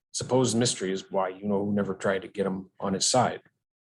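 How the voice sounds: The recording carries a natural reading voice.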